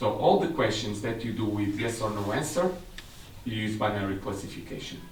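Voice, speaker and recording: A man with a Portuguese accent at a fairly quick pace and fairly low pitch, with ordinary pitch variation, audible room echo, and noticeable background noise. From Portugal. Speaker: technical specialist. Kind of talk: seminar presentation.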